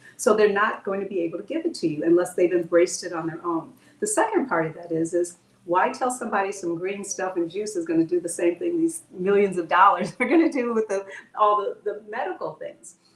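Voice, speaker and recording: Against noticeable background noise, a woman speaks at a fairly quick pace with medium pitch and lively intonation. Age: 70s. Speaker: holistic health practitioner. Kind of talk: interview.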